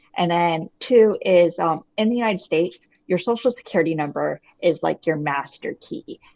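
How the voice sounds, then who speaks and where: With a Boston accent, a woman speaks at a moderate pace. Her pitch is fairly low, with ordinary variation. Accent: American (Boston). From US. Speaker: author, identity theft victim. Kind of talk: interview.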